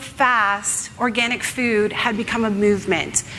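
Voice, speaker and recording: Recorded with noticeable background noise and audible room echo, a woman speaks. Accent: Canadian. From Canada. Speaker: author and ethical fashion advocate. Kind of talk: conference talk.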